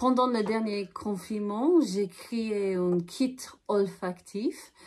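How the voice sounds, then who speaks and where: A woman with a strong Irish accent speaks in a fairly high voice with ordinary pitch variation. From Ireland. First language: English (speaking French). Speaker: aromatherapist. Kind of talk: casual interview. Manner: halting.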